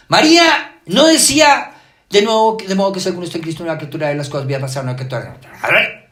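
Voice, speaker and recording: A man speaks at a high pitch with very wide pitch swings. Audible room echo surrounds his voice. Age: 60s. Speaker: pastor. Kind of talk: sermon.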